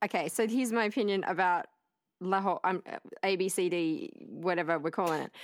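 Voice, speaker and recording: Talking at a fairly quick pace, a woman uses an Australian accent. Her pitch is medium, with ordinary pitch variation. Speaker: podcast guest, movement artist. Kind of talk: casual chat.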